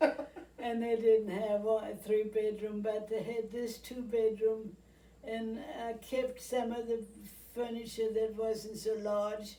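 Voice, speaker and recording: A woman's dark, mellow voice, monotone and flat, at a very slow pace, with audible room echo. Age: 90s. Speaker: retirement home resident. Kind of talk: interview. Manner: halting.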